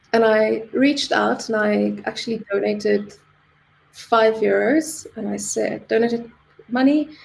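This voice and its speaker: Noticeable background noise runs under the recording. Over it, a woman talks fairly slowly. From South Africa. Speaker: charity volunteer, social media manager. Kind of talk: casual interview chat. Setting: live stream. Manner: casual with frequent fillers.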